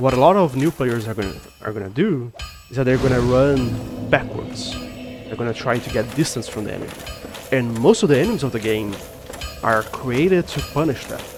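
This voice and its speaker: A man with a non-native accent talks at a medium pitch and moderate pace, with ordinary pitch variation. His loudness swings widely over noticeable background noise. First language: Portuguese. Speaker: gaming youtuber. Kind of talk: gameplay commentary. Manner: halting.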